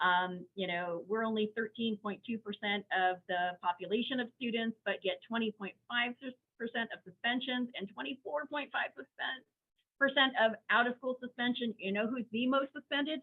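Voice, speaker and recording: Pitched fairly high, a woman speaks at a moderate pace with ordinary pitch variation and hardly any pauses. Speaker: special education law presenter. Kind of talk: webinar presentation. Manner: animated.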